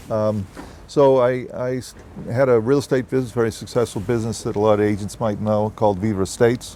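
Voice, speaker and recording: Speaking with a Boston accent, a man keeps a fairly quick pace and fairly even intonation. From US Northeast, Boston. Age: 70s. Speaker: real estate executive. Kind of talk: interview. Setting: on location at a resort development.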